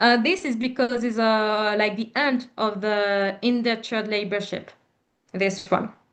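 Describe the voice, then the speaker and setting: A woman talks at a fairly slow pace and a fairly high pitch. Her intonation stays fairly even. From Reunion Island. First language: French. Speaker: panel speaker on diaspora history. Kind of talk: Q&A discussion.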